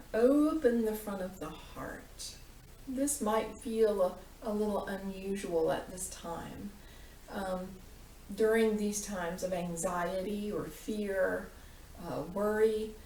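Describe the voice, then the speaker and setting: Over noticeable background noise, a woman at a medium pitch speaks very slowly in a calm tone, with ordinary pitch variation and big swings in loudness. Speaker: yoga teacher. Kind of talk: guided meditation. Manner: slow, calm.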